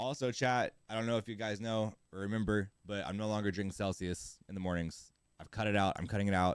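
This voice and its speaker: Very fast, fairly low male speech on a very clean recording with a silent background. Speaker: day trader streaming live. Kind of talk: live trading stream chat. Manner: casual, conversational.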